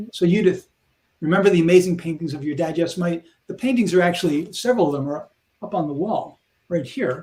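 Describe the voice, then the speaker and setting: A man with an American accent speaks at a very fast pace. His high voice has a dark, mellow tone and ordinary pitch variation. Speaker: programming educator. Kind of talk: live stream chat.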